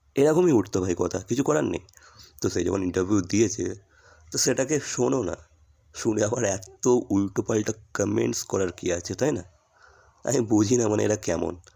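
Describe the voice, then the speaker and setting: A dark, mellow voice with vocal fry and lively intonation comes through on a very clean recording with a silent background. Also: man, fairly low pitch for a man. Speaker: YouTube reaction creator. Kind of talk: casual vlog commentary.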